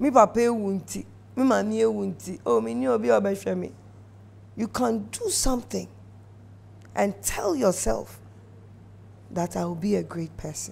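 Her voice very deep and low, a woman speaks very slowly with long, frequent pauses, vocal fry, and very wide pitch swings. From Ghana. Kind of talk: exhortation. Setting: studio. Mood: earnest, encouraging. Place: studio. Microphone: lapel.

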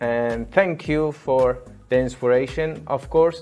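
A man speaking at a very slow pace over faint background music. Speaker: VFX tutorial creator. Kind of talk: tutorial intro. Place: home room. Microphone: lapel.

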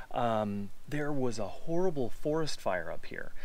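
A man talks at a fairly slow pace with lively intonation, in a dry sound with no echo. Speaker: travel vlogger. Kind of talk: casual vlog chat. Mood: somber, respectful. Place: open country. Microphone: phone near.

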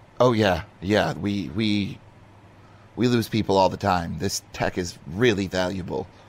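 In a quiet, raspy put-on character voice, a man talks at a fairly slow pace with fairly low pitch. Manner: tired, flat, quietly warning.

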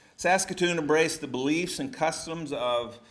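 This man has a Texan accent and a fairly high pitch. His pitch varies in an ordinary way, and he talks at a moderate pace. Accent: Texan American English. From Texas. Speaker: pastor reviewing a book. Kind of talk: book review talk. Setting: church hall with audience. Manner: halting. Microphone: podium.

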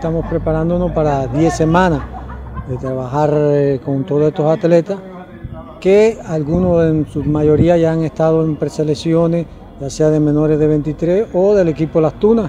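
A man at a moderate pace, fairly even in intonation, with light background noise. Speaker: baseball coach. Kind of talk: interview answer. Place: stadium.

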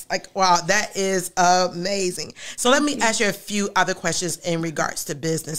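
Her pitch varies in an ordinary way. The woman's delivery moves at a fairly quick pace. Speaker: pastor and show host. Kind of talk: interview. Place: studio. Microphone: studio mic.

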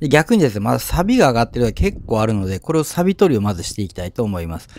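A man's voice, dry with no echo. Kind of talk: tutorial. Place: street. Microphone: phone near.

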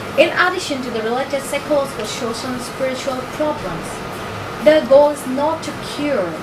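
A woman speaks at a moderate pace. Noticeable background noise can be heard behind her. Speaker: PhD student presenting research proposal. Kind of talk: academic presentation. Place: meeting room.

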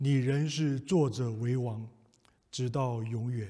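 Quiet surroundings behind a male speaker. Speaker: preacher leading prayer. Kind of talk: prayer. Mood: calm, solemn, reassuring. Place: church.

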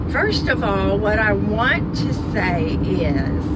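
Against loud background noise, a woman speaks at a very slow pace, and the sound is dry with no echo. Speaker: vlogger. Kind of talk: casual vlog chat. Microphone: phone near.

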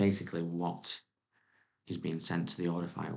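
Soft-spoken and very deep, a man's voice moves at a moderate pace over a quiet background. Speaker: teacher. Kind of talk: exam tutorial narration. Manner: quiet, soft-spoken. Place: home room.

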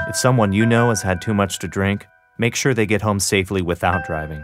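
Fairly quick speech from a man with a fairly low pitch and ordinary pitch variation, clear music in the background. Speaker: voice actor. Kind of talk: TV commercial read.

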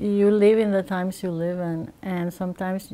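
A woman with a Spanish accent speaks at a moderate pace in a monotone, flat intonation, her tone dark and mellow. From Puerto Rico (Ponce). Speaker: artist. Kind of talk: interview monologue. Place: workshop.

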